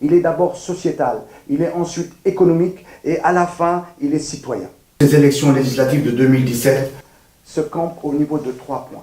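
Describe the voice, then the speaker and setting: A man talks with a fairly high pitch and a dark, mellow tone. His pace is moderate and his pitch variation ordinary. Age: 60s. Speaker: political candidate. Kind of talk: campaign statement. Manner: formal.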